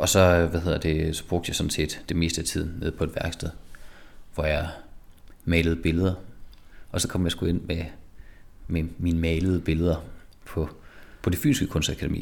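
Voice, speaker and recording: The speech moves at a moderate pace, monotone with flat intonation and long, frequent pauses. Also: man, very deep, low pitch for a man. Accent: Jutlandic. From Denmark, Jutland (Skive). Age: 30s. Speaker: artist. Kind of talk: interview. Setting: studio workshop. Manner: halting, many repetitions and fillers.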